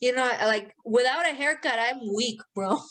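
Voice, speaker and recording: At a moderate pace, a woman talks while noticeable background noise continues. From Mexico. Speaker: podcast co-host. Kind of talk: casual chat. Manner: animated.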